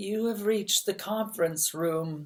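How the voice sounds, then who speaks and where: This put-on character voice has a fairly high pitch and keeps a moderate pace. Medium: read story. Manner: gentle, courteous.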